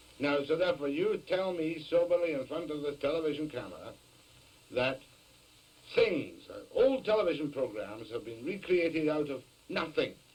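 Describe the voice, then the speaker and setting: A man speaks at a moderate pace with a Scottish accent. His pitch sits fairly high, and his intonation is lively. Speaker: TV talk show host. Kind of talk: TV interview. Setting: television studio. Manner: skeptical, probing.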